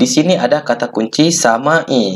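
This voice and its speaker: Pitched fairly high, the man's voice swings very widely up and down. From Minangkabau, West Sumatra. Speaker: geography and economics teacher. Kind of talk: educational tutorial talk.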